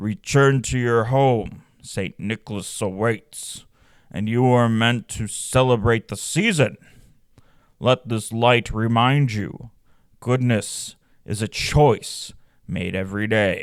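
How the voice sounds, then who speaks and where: In a put-on character voice, a man sounds resonant and rumbling at medium pitch and a fairly slow pace. The recording is very clean with a silent background. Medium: read story. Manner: slow, solemn.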